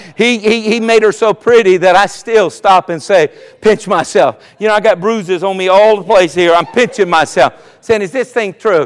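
In a Southern US accent, a man with a high-pitched voice talks at a moderate pace with ordinary pitch variation. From US South, South Carolina. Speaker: pastor. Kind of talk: sermon. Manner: animated.

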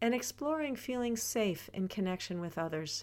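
Recorded very cleanly with a silent background, a woman with medium pitch and an unremarkable speaking voice talks at a fairly slow pace. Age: 60s. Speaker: podcast host and wellness teacher. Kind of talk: personal reflective monologue.

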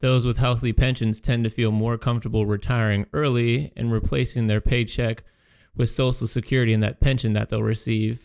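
In a dry, close sound with no echo, a man speaks at a fairly quick pace with a monotone, flat intonation. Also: medium pitch for a man. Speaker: financial advisor radio host. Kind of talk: radio show discussion.

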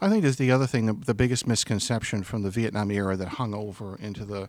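A man talks with an American accent in a plain, everyday voice, his pitch fairly low and his intonation fairly even. The recording is very clean, with a silent background. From Massachusetts, Boston area (Stoughton). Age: 50s. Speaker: author. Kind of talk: book talk interview. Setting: live event in bookstore with audience.

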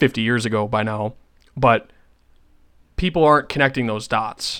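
A man with an American accent speaks at a medium pitch in a bright, sharp tone. The recording is very clean with a silent background. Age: 20s. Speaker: political podcaster. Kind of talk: solo political commentary. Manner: off the cuff.

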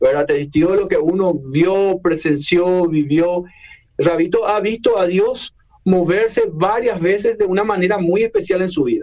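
Over noticeable background noise, a high-pitched man speaks at a fairly slow pace with very even loudness. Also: ordinary pitch variation. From Paraguay. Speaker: radio host. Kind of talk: radio interview. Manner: halting.

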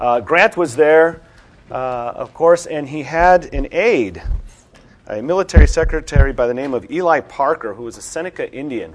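A man with an unremarkable speaking voice, fairly high in pitch, talks at a moderate pace with lively intonation and big swings in loudness. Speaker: seminar organizer. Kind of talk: introduction. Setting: stage with audience.

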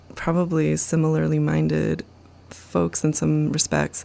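This woman's speech is rather slow. She has an American accent. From US, back-to-land commune. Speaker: researcher and filmmaker. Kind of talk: interview.

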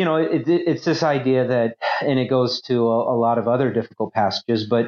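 Speaking at a moderate speed, a man keeps to a medium pitch and varies it in an ordinary way. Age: 30s. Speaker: former pastor. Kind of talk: casual discussion. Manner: halting, many fillers.

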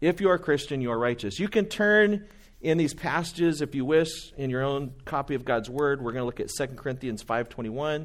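An unremarkable speaking voice from a man, fairly high in pitch with lively intonation, against a quiet background. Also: fairly quick pace. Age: 40s. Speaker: pastor. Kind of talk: sermon.

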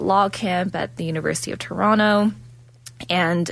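Woman with lively intonation and a Canadian accent, amid noticeable background noise. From Ontario, Canada. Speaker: law student radio co-host. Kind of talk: live radio chat. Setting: radio studio.

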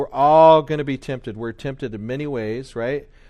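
A man with an unremarkable speaking voice talks at a fairly quick pace and medium pitch. His intonation stays fairly even over a quiet background. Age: 50s. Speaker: Sunday school teacher. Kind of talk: Bible study lesson. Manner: casual with many fillers.

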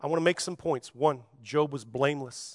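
Against a quiet background, a man's bright, sharp tone comes through with a dry, close sound and no echo. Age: 40s. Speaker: psychology professor. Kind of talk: sermon. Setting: church stage with audience.

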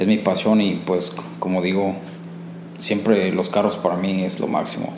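A man talks at a moderate pace, with audible room echo and noticeable background noise around him. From Mexico, Cuautla, Morelos. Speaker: mechanic. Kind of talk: personal testimony. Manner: halting, frequent repetitions.

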